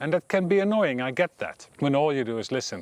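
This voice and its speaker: A man with a Dutch accent, fairly high pitch and very wide pitch swings, at a fairly quick pace, in a dry, close sound with no echo. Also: very clean recording, silent background. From Netherlands. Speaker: meditation teacher. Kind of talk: personal talk to camera.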